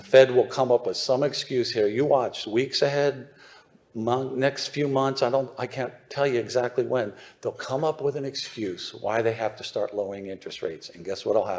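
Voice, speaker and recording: A man speaks with an American accent at a moderate pace. His pitch sits in the medium range and varies in an ordinary way. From US, suburban Philadelphia. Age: 60s. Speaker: newsletter writer on mining investment. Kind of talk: conference presentation. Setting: stage with audience. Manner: animated.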